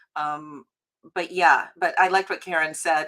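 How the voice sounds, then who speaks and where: A woman's voice with a bright, sharp tone. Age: 60s. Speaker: founder of a screen industry organization. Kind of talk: panel discussion.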